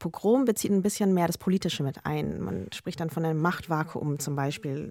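Here a woman with a plain, everyday voice talks at a fairly quick pace. The sound is dry and close with no echo, and the recording is very clean with a silent background. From Germany, Lower Bavaria. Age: 30s. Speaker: journalist and podcaster. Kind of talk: panel discussion. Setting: studio.

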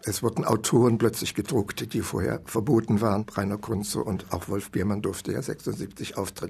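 A man's fairly low voice at a moderate pace, with ordinary pitch variation and noticeable background noise. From East Germany. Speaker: writer. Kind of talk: interview recollection.

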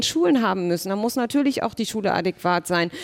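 Using a plain, everyday voice, a woman talks at a fairly quick pace with lively intonation, the sound dry and close with no echo. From Germany, Berlin. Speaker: politician. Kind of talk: panel discussion.

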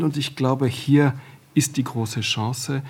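A man's fairly high, somewhat breathy voice with a dark, mellow tone and ordinary pitch variation, on a very clean recording with a silent background. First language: French (speaking German). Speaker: radio executive, panel guest. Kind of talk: panel discussion.

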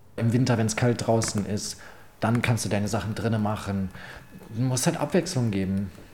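A man speaks in a plain, everyday voice at a medium pitch. His pace is moderate and his pitch varies in an ordinary way. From Berlin. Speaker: adult content creator. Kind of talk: interview. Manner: casual, filler-heavy.

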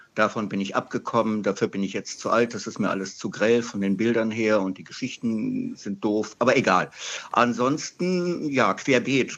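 Speaking at a moderate pace, the man uses an ordinary speaking voice of medium pitch and ordinary pitch variation. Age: 60s. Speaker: radio caller, comic collector. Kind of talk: call-in chat. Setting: phone call.

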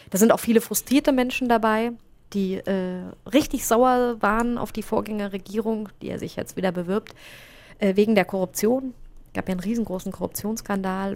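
Using a plain, everyday voice, a woman talks at a moderate pace and medium pitch with ordinary pitch variation. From Germany. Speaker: foreign correspondent. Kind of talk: interview.

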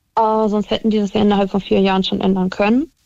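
With a dark, mellow tone and a fairly high pitch, a woman speaks at a fairly quick pace. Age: 20s. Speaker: caller. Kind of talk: phone-in chat.

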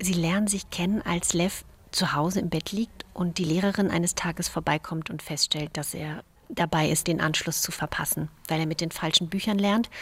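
The speaker is somewhat breathy, keeping a moderate pace and fairly even intonation. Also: woman, fairly low pitch for a woman. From Romania (Banat), raised in Germany from age eight. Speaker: novelist. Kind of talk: interview about her novel. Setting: memorial site, partly outdoors in cold.

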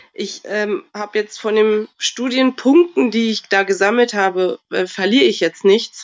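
At a fairly slow pace with hardly any pauses, a woman talks in an ordinary speaking voice, fairly high in pitch with ordinary pitch variation. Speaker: caller.

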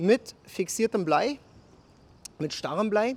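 A man with a high-pitched voice talks with lively intonation. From Berlin. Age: 40s. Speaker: soldier and fishing YouTuber. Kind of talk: casual chat and angling tutorial. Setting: outdoors at a canal.

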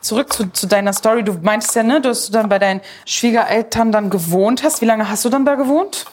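Noticeable background noise sits behind a woman talking fairly quickly, her pitch varying in an ordinary way. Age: 20s. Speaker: podcast host. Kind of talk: casual chat while cooking.

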